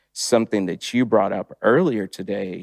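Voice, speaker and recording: A man with a plain, everyday voice speaks fairly slowly at a fairly low pitch, with ordinary pitch variation and a dry, close sound with no echo. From Texas, born in Long Beach, California. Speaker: church member. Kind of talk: panel discussion.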